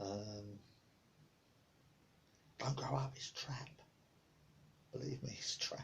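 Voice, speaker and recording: The speaker mumbles in a relaxed tone at a fairly slow pace. The intonation is lively. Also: man. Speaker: hobbyist painter and boat builder. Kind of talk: casual talk to camera. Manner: mumbling, relaxed, chatty.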